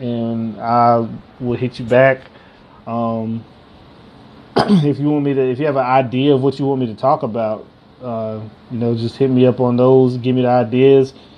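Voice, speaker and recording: Monotone, flat intonation from a man at a medium pitch and a moderate pace. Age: 30s. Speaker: podcast host. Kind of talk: casual chat. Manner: halting, many fillers.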